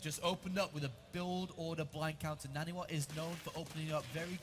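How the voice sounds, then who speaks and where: A man with a British accent and a fairly high pitch, fairly quick pace, amid noticeable background noise. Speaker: esports commentator. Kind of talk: live commentary.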